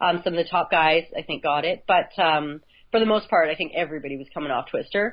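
A woman with a Canadian accent, very deep, low pitch and a fairly quick pace. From Canada, northern Alberta. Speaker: ultra obstacle course racer. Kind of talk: casual interview.

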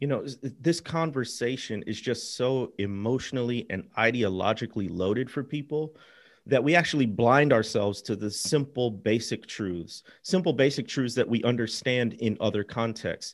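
An ordinary speaking voice: a man with an American accent at medium pitch, ordinary pitch variation, moderate pace and hardly any pauses, in a very clean recording with a silent background. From US Midwest. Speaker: author. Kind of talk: interview conversation.

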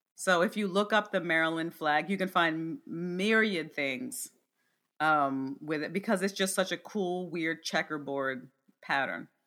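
A woman's fairly low, ordinary speaking voice with lively intonation, a fairly slow pace, and an American accent. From US small colonial town. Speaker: podcast co-host. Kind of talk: casual chat. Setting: online remote recording.

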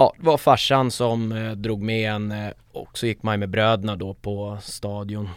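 Big swings in loudness mark this man's speech, which moves at a fairly slow pace. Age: 30s. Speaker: football supporter group founder. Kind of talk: casual interview.

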